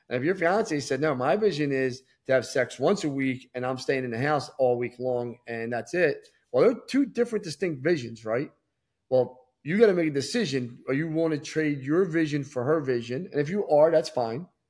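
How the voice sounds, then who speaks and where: A man with an unremarkable speaking voice, fairly high in pitch, at a moderate pace, on a very clean recording with a silent background. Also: lively intonation. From Philadelphia area, US. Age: 40s. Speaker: entrepreneur. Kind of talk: casual interview.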